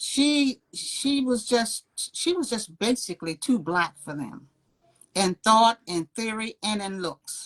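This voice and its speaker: The voice moves at a very slow pace with very wide pitch swings. It is somewhat breathy. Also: woman, fairly high pitch for a woman. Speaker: video blogger discussing current events. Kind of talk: casual chat. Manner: stutters at times.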